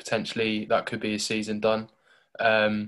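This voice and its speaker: A man with a southern English accent speaks at a moderate pace and fairly low pitch on a very clean recording with a silent background. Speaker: football podcast host. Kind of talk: casual chat.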